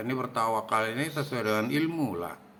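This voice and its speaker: A man's voice with lively intonation and a bright, sharp tone. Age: 60s. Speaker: religious educator. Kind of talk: religious talk.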